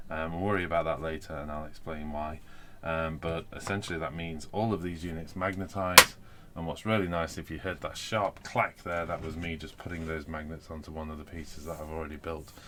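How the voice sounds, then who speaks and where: Speaking with a British accent, a man has a very deep, low pitch and fairly even intonation. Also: fairly quick pace. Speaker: wargaming hobby youtuber. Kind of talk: live stream hobby chat. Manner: fast; hesitant fillers.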